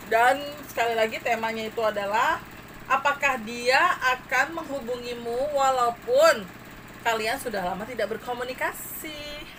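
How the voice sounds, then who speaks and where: There is noticeable background noise. Over it, a woman speaks with a high pitch. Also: ordinary pitch variation, moderate pace. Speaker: tarot reader. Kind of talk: tarot reading to viewers.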